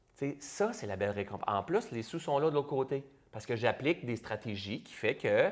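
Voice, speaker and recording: The speaker has an animated tone and a Quebec accent, with very wide pitch swings. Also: man. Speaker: entrepreneur and public speaker. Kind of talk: interview conversation.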